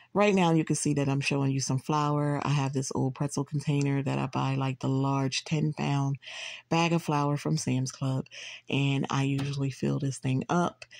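At a moderate pace, a woman speaks at a very deep, low pitch with monotone, flat intonation and very even loudness, in a dry sound with no echo. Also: quiet background. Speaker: home cook vlogger. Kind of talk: casual cooking tutorial. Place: kitchen. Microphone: phone near.

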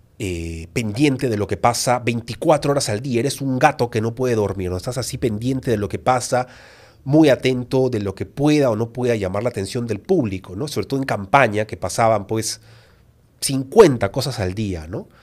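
A man speaks at a moderate pace, and his pitch varies in an ordinary way. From Peru. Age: 30s. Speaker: YouTuber and author; podcast guest. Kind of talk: interview. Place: studio. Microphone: studio mic.

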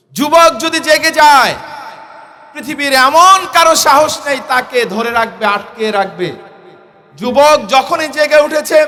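Against noticeable background noise, a man projects his voice at an extremely high pitch with ordinary variation. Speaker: Islamic cleric and political speaker. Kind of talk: political rally speech. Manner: oratorical, rhetorical repetition.

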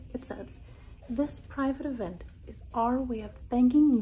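The speech moves at a fairly slow pace with fairly even intonation. Light background noise is present. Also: woman. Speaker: travel vlogger. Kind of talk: casual vlog chat. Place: hall. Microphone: phone near.

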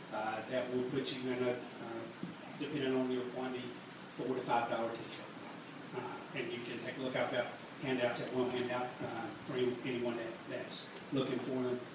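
Amid noticeable background noise and audible room echo, a man speaks at a moderate pace with long, frequent pauses. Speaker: merchandise company owner. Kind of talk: live workshop talk. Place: stage.

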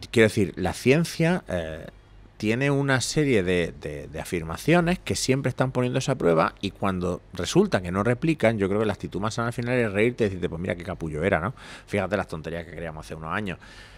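This man's voice is fairly low and moves at a fairly quick pace. His pitch swings very widely. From Spain, Granada (Andalusia); Andalusia, Spain. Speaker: psychologist and university lecturer; podcast guest. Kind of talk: casual interview chat. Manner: fast. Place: bar. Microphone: studio mic.

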